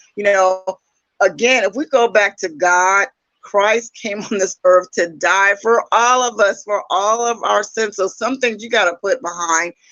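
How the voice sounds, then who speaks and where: This is a plain, everyday voice. The pace is fairly slow. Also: woman, medium pitch for a woman, ordinary pitch variation. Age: 60s. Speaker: YouTube dating talk show host. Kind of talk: casual conversation. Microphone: echo on her end.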